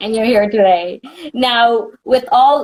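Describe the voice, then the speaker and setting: A woman talks with a New York accent. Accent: New York American. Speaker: entertainment interviewer. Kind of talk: interview. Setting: Instagram live video call.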